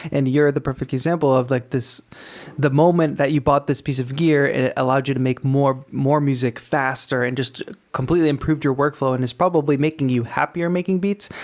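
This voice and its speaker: A man with an American accent and an ordinary speaking voice talks at a fairly quick pace, with a fairly high pitch, fairly even intonation and very even loudness. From Massachusetts. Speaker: music producer and call-in show host. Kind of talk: live call-in show.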